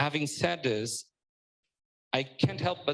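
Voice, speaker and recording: Fairly high male voice in a Portuguese accent, with ordinary pitch variation. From Portugal. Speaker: startup panelist. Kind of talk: panel discussion.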